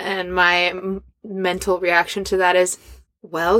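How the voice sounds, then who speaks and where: Speaking very slowly, a woman with a medium-pitched voice is heard in a dry, close recording without echo. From Scandinavia. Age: 30s. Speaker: performer and business owner. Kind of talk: casual chat. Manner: animated.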